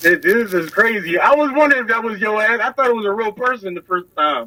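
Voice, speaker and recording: Raising and projecting his high-pitched voice, a man speaks at a very fast pace with an animated tone and lively intonation. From army brat, moved around; now near Philadelphia. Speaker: comedian. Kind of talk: casual chat.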